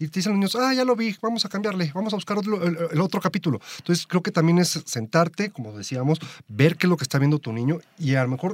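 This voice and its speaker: This man talks at a very fast pace in a high pitch, with very wide pitch swings. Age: 30s. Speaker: motorcycling enthusiast. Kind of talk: casual chat.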